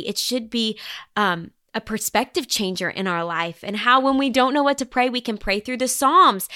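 Speaking at a fairly quick pace with a Southern US accent, the voice carries a bright, sharp, warm, enthusiastic tone and lively intonation in a dry, close sound with no echo. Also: woman. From Arkansas, US. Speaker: author and singer-songwriter. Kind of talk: casual interview chat. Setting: video call.

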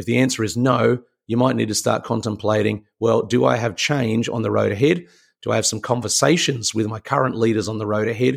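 Using medium pitch and ordinary pitch variation, a man speaks in an Australian accent. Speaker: leadership mentor and podcast host. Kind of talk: motivational talk.

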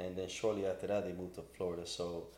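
There is audible room echo around a man's dark, mellow tone. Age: 40s. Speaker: barber and business owner. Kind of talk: casual interview.

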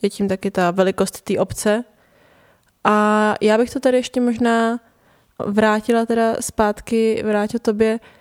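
Fairly high in pitch, a woman speaks at a fairly slow pace in a monotone, flat delivery, recorded dry and close with no echo against a silent, very clean background. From Prague, Czech Republic. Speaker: podcast host. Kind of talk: conversational interview.

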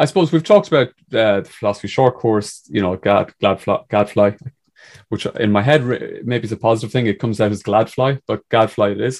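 With an Irish accent, a man talks fairly quickly at a medium pitch with ordinary pitch variation against a quiet background. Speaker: podcast host. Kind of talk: casual chat. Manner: laughs a lot.

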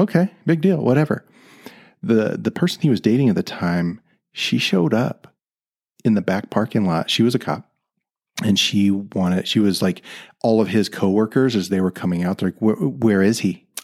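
In an American accent, a man with a plain, everyday voice talks at a moderate pace and fairly low pitch, his intonation lively. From US South. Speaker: podcast host, retired police officer. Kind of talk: casual interview. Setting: recording with a mic in person.

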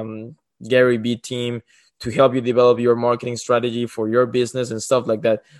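Over a quiet background, a man talks at a fairly quick pace. His medium-pitched voice is monotone and flat. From Mexico. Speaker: student entrepreneur. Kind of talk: casual chat.

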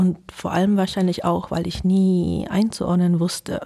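A woman speaks at a fairly slow pace in a dark, mellow tone. Her voice is somewhat breathy, with monotone, flat intonation. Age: 40s. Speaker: interview guest. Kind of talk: casual interview.

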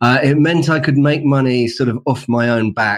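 A man speaks in a London accent at a medium pitch and fairly quick pace, with ordinary pitch variation. The background is quiet. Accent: British English, London. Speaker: author, designer and entrepreneur. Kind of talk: interview.

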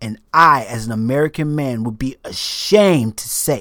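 The pitch varies an ordinary amount. The recording is very clean, with a silent background. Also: man. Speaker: podcast host. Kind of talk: protest speech. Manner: impassioned, urgent; rhythmic, staccato, repetitive.

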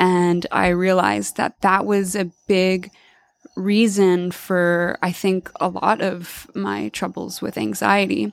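In a dry, close sound with no echo, a woman speaks at a very slow pace, her medium pitch showing ordinary variation. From Alabama. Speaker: bodywork practitioner. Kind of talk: interview testimony.

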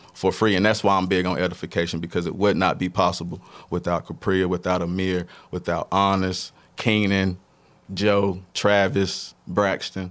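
A man speaks with a North Carolina accent at a moderate pace, his pitch very deep and low and his intonation monotone and flat. The recording is very clean, with a silent background. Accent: North Carolina Southern. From Statesville, North Carolina. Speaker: arts nonprofit founder and artist. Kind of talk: casual interview.

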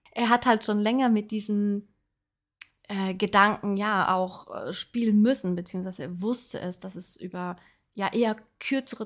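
On a very clean recording with a silent background, a woman talks at a fairly slow pace with ordinary pitch variation. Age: 30s. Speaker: podcast host, personal development coach. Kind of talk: casual personal monologue. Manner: filler-heavy, halting.

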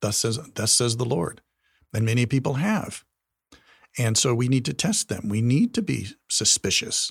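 With an American accent, a somewhat breathy man speaks at a moderate pace with ordinary pitch variation, leaving long, frequent pauses. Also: dry, close sound with no echo, very clean recording, silent background. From US, Wyoming. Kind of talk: podcast interview discussion.

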